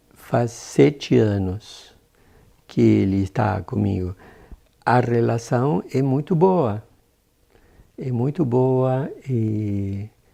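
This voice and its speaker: Very slowly and with long, frequent pauses, a man speaks in a dark, mellow, medium-pitched voice with ordinary pitch variation. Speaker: adoptive father. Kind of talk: documentary interview.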